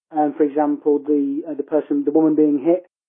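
A man with a fairly high pitch, speaking in a monotone, flat intonation, with an English Midlands accent. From England, Coventry. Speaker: listener caller. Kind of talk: voicemail. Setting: phone call.

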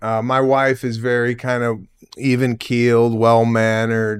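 A man speaks at a fairly slow pace in a clear, smooth tone with little pitch movement. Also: medium pitch for a man, very clean recording, silent background.

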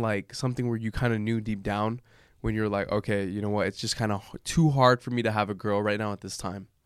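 Recorded very cleanly against a silent background, the sound is dry and close with no echo. A man speaks in a plain, everyday voice at a medium pitch with ordinary pitch variation. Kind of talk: casual chat, banter over drinks.

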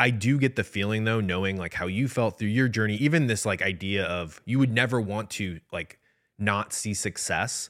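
In a very clean recording with a silent background, a man with an American accent talks at a moderate pace, his pitch fairly low with ordinary variation. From US Midwest. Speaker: podcast co-host. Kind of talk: casual chat. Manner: frequent filler word like.

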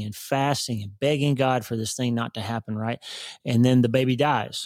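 Man with a normal speaking voice, medium pitch and moderate pace, in an American accent. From Oklahoma. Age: 50s. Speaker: neurosurgeon and author. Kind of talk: casual interview.

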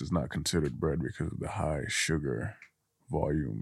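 A man's very deep, low voice with vocal fry, at a moderate pace with ordinary pitch variation. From Guinea. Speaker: content creator. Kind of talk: casual chat. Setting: studio.

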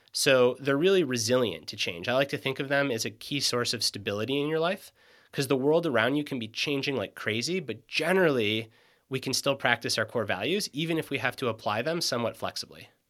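Recorded very cleanly against a silent background, a man with an American accent talks at a fairly quick pace and a medium pitch. He has an unremarkable speaking voice with lively intonation. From US Midwest, Michigan. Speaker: author and performance coach. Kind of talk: casual interview.

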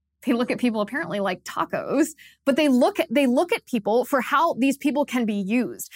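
A woman with a high pitch and lively intonation speaks fairly quickly, recorded very cleanly against a silent background with a dry, close sound and no echo. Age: 30s. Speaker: political commentator host. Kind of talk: angry political rant. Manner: indignant, emphatic, fast-paced; scornful, accusatory.

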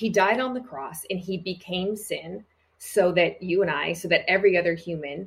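At a moderate pace, the speech comes through with a somewhat breathy quality. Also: woman. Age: 40s. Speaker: church leader and speaker. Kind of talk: casual chat.

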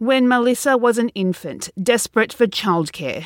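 A woman with a plain, everyday voice, pitched fairly high, speaking at a moderate pace with lively intonation. The sound is dry and close, with no echo. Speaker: promo announcer. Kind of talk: promo announcement.

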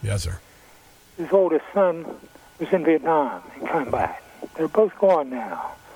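Amid noticeable background noise, a man speaks at a fairly high pitch and a fairly slow pace, with lively intonation, big swings in loudness and long, frequent pauses. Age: 80s+. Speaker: caller. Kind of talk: casual chat.

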